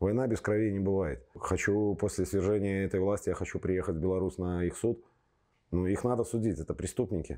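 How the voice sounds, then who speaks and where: Against a quiet background, a man with a fairly low pitch and a dark, mellow tone talks at a fairly quick pace with ordinary pitch variation. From Belarus, Minsk; Belarus. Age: 40s. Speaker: football fan, torture survivor; interviewee. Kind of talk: testimony; interview answer. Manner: halting. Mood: grim, indignant. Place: studio. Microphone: lapel.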